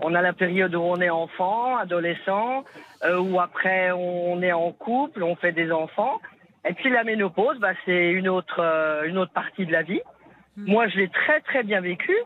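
A woman with a normal speaking voice talks at a fairly slow pace, her medium pitch showing ordinary pitch variation. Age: 50s. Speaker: caller. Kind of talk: casual chat. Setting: phone call.

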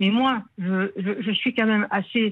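A woman's somewhat breathy, fairly high voice in a southern French accent, at a very slow pace. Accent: southern French, sing-song. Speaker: caller, winegrower. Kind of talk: radio call-in. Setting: phone call.

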